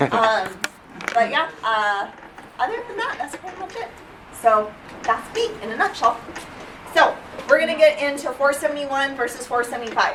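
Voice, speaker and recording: A woman with a high pitch talks at a moderate pace, her voice moving in very wide pitch swings and big swings in loudness, broken by long, frequent pauses. Audible room echo and noticeable background noise fill the recording. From Canada. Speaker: dental hygiene instructor. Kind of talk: lecture. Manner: casual, many fillers.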